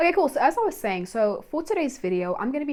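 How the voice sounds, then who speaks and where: With an animated tone, a woman talks at a very fast pace. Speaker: YouTuber. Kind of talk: casual vlog talk. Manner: chatty, animated.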